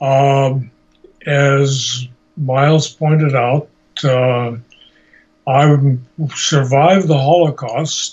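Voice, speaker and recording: The voice is a man's, somewhat breathy. He talks very slowly. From Hungary (Košice region, Slovakia). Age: 80s+. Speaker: Holocaust survivor. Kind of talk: interview. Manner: halting.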